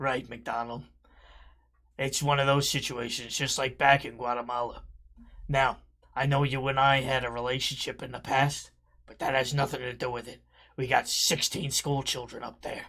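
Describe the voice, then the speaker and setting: A man speaks in a put-on character voice, raspy and at a medium pitch, keeping a moderate pace broken by long, frequent pauses, on a very clean recording with a silent background. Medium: game stream. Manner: urgent, gruff.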